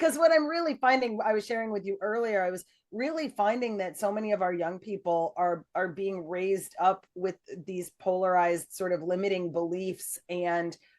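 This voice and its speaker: Here is a woman with a plain, everyday voice at a medium pitch. She keeps a moderate pace and lively intonation. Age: 60s. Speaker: podcast host. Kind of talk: interview.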